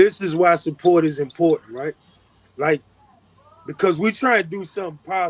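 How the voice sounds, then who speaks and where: Loud and close, with a dry sound and no echo, a man with a high voice speaks fairly quickly with ordinary pitch variation and long, frequent pauses. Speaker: podcast co-host. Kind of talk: casual chat.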